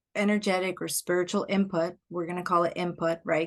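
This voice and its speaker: The speaker talks with a Spanish accent against a quiet background. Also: woman. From Puerto Rico. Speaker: life coach. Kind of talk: podcast interview. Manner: reflective, searching for words.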